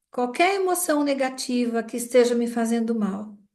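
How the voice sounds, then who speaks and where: A woman speaks at a fairly slow pace in a high voice. Some room echo can be heard around her. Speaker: group therapist. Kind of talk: guided EFT tapping session.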